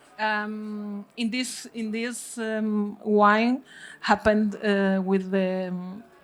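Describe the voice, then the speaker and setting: With a Spanish accent, a woman talks at a very slow pace in a fairly high pitch and a monotone, flat intonation. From Spain, Galicia. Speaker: winemaker. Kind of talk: panel talk at wine tasting. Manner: halting, many fillers.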